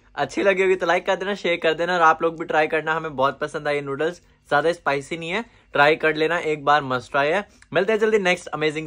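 Bright and sharp in tone, a man speaks at a fairly quick pace with ordinary pitch variation. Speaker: food vlogger. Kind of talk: casual vlog outro. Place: home room. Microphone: phone near.

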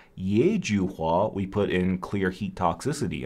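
This man speaks at a fairly low pitch. His voice has a dark, mellow tone. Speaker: Chinese medicine educator. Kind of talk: live-stream Q&A. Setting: live stream from home. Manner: casual, chatty. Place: studio.

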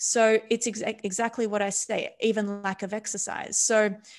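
Against a quiet background, a woman with an Australian accent speaks at a fairly slow pace and with fairly even intonation. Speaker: neuroscientist; podcast guest. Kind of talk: casual interview. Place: home room. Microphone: studio mic.

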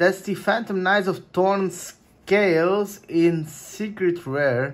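A man speaks at a very slow pace. His pitch is high for a man. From Luxembourg. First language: Portuguese. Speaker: YouTuber doing trading card pack openings. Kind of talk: casual chat, video commentary while opening card packs. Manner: casual, chatty, excitable. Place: home room.

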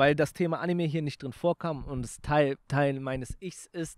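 With a dry sound and no echo, a man talks at a moderate pace in a fairly high pitch. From Germany, Aachen; Germany. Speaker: YouTuber and snack entrepreneur; YouTuber. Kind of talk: casual chat. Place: garden. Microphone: handheld.

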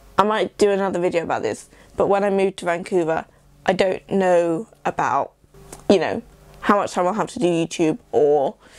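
With an English accent, a woman talks at a medium pitch using fairly even intonation. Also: moderate pace. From England. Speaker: YouTuber. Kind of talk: casual vlog monologue. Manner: talkative, rambling. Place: home room.

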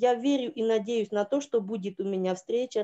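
A woman speaks with a fairly high pitch and a dark, mellow tone. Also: quiet background. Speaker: church member. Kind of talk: testimony. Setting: video call from phone. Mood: grateful, emotional testimony. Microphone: video call.

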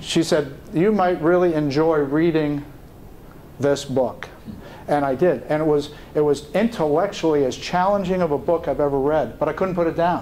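A man with an American accent speaks in a fairly high voice over noticeable background noise. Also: ordinary pitch variation, moderate pace, very even loudness. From New York City. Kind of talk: leadership talk. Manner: halting.

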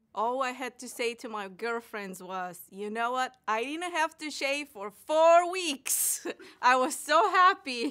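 A woman with a non-native accent, a bright, sharp tone and very wide pitch swings, over a quiet background. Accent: foreign. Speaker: patient giving testimonial. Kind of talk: testimony. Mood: happy, enthusiastic. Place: studio.

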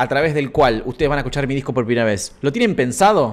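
A man with a Rioplatense accent speaks at a fairly high pitch. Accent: Argentine Rioplatense Spanish. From Argentina. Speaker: musician and streamer hosting a live stream; streamer hosting a live stream. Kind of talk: casual live stream chat with viewers. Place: home room. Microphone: studio mic.

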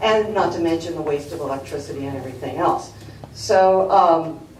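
Recorded with audible room echo, a woman speaks at a fairly low pitch. Her pitch varies in an ordinary way. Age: 50s. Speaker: public commenter at planning commission hearing. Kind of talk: public comment at a government hearing.

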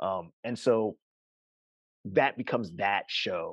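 A man with an American accent is heard against a quiet background in a dry sound with no echo. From US West Coast, Altadena, California. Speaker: poet. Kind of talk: interview conversation. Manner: halting, with frequent fillers and repetitions. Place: home room. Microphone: video call.

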